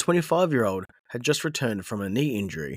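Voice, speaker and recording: In a very clean, dry, close recording with no echo and a silent background, a man with an Australian accent talks at a very fast pace and medium pitch, with vocal fry and very wide pitch swings. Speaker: football podcast host. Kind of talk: solo podcast monologue. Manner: hesitant, frequent fillers.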